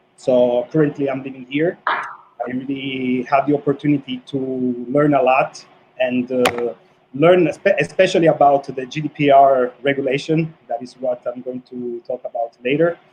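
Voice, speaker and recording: With noticeable background noise behind him, a man talks at a moderate pace in a fairly high pitch with fairly even intonation. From Italy. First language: Italian. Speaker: sports lawyer. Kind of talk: self-introduction. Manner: halting.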